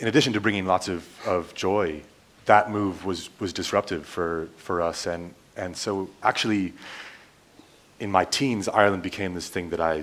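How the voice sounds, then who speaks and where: A man speaks at a moderate pace in a very deep, low pitch with fairly even intonation. He has an American accent. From US Midwest, Nebraska. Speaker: academic, panelist. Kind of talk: panel discussion.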